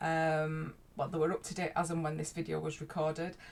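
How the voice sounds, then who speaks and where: A woman speaks with a Yorkshire accent. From Yorkshire, northern England. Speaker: life coach. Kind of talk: casual vlog talk. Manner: hesitant, many fillers.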